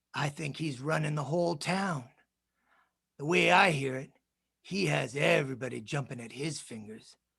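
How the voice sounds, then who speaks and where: In a put-on character voice, a man drawls at a moderate pace with a fairly high pitch, ordinary pitch variation, big swings in loudness, and long, frequent pauses. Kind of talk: film noir voice-over. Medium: stage play. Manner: drawling tough-guy slang.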